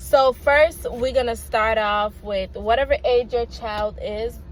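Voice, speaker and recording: Music plays in the background as someone speaks with a Jamaican accent. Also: woman. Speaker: parent vlogger. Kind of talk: casual vlog talk. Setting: in a car. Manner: halting, with many fillers.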